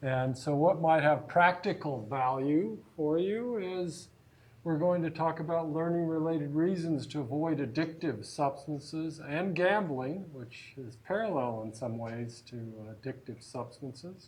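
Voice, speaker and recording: A man with a fairly high pitch and ordinary pitch variation, at a fairly slow pace, his loudness swinging widely, in audible room echo. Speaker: psychology lecturer. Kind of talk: lecture. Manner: projecting voice loudly.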